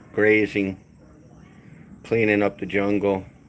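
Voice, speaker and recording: A man's relaxed, fairly low voice with an American accent, at a fairly slow pace over noticeable background noise. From California. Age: 60s. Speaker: retired expat vlogger. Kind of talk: live stream chat with viewers. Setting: outdoors on upper deck. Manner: casual, relaxed.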